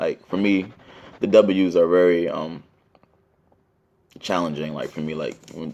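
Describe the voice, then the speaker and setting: With a very deep, low pitch, a man talks in fairly even intonation. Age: 20s. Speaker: student. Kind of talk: class presentation. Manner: fast; halting.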